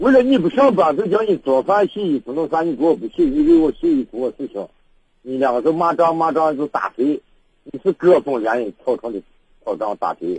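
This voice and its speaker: This man talks at a fairly quick pace, his high pitch making very wide swings. The sound is dry and close with no echo. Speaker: radio caller. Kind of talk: call-in advice conversation. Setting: phone call. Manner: halting.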